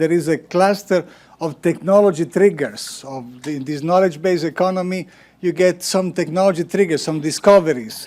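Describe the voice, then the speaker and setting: Here a man speaks with a high-pitched voice. His pace is moderate. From Italy. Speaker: panel chair, research executive and scientist. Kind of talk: panel moderation, opening remarks. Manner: hesitant, with many filler sounds.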